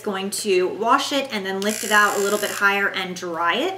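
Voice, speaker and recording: Noticeable background noise sits behind a woman speaking at a fairly high pitch and moderate pace with ordinary pitch variation. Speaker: beauty YouTuber. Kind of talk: sponsored product review. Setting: home living room. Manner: animated; kept quiet.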